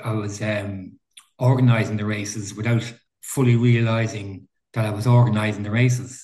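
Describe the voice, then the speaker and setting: A man with a Dublin accent sounds somewhat breathy and speaks with monotone, flat intonation. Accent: Irish, Dublin area. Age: 60s. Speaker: veteran mountain runner. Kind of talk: casual interview. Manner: halting.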